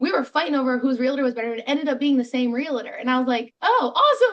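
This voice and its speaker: A woman talks at a very fast pace in a high voice. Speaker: real estate agent. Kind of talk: interview.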